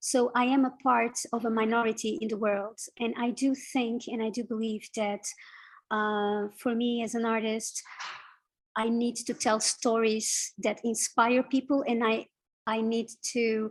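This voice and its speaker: A woman at a fairly high pitch in a Portuguese accent, monotone and flat, at a fairly slow pace against a quiet background. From Portugal. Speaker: illustrator and visual artist. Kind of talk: interview. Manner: halting, many fillers.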